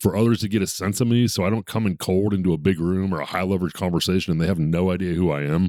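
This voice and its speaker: A man's very deep, low voice at a very fast pace, with ordinary pitch variation, dry and close with no echo, over a silent background on a very clean recording. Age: 50s. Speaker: podcast host and business coach. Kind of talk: casual interview conversation.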